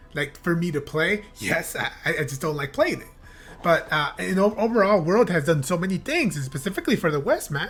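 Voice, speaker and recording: A woman with a fairly low pitch and lively intonation at a fairly quick pace, with music in the background. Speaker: gaming youtuber. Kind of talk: reaction video commentary. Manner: halting. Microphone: new blue yeti mic.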